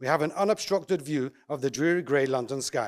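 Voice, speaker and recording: A man with an English accent, a fairly quick pace and ordinary pitch variation. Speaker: eruv coordinator and contractor. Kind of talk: conference talk. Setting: conference with audience.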